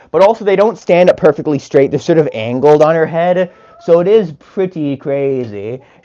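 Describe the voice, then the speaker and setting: A man's high-pitched voice at a fairly quick pace, with lively intonation over noticeable background noise. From Canada. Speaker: chicken keeper streamer. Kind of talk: live stream chat. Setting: chicken coop.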